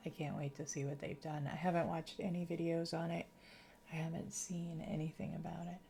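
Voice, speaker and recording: Somewhat breathy, the voice has a dark, mellow tone and a slight Massachusetts accent. Its intonation is monotone and flat, at a fairly quick pace. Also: woman, fairly low pitch for a woman. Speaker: gaming streamer. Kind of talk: casual livestream commentary while gaming.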